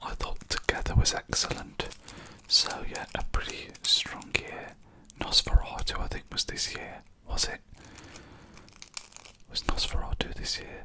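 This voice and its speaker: A fairly slow whisper with big swings in loudness, long and frequent pauses, and noticeable background noise. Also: man. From England. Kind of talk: ASMR whisper ramble. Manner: whispered, soft-spoken.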